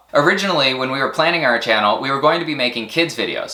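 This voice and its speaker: A man speaks at a medium pitch with ordinary pitch variation. There is audible room echo. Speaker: science camp educator and channel host. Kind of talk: channel update talk to camera. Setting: recorded to camera. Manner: hesitant with fillers and word-finding pauses.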